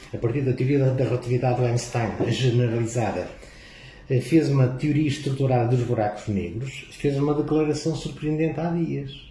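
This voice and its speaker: A man talks at medium pitch and a moderate pace with fairly even intonation. Audible room echo and noticeable background noise surround him. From northern Portugal, Vila do Conde. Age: 60s. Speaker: physics professor. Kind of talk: casual interview.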